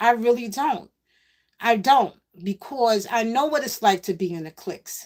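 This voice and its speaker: In a New York accent, a woman speaks fairly slowly at a fairly high pitch. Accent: New York City. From New York City (Queens). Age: 60s. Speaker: live-stream host, former MC. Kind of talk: casual live-stream monologue. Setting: live stream while pedalling exercise bike.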